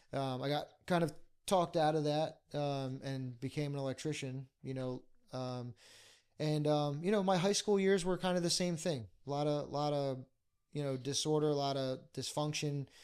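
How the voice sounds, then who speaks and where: With a Philadelphia accent, a man speaks at a fairly high pitch and a moderate pace, his pitch varying in an ordinary way. The recording is very clean, the background silent. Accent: Philadelphia-area American. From Bucks County, Pennsylvania. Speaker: pastor. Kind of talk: podcast interview, life story. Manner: hesitant, many fillers.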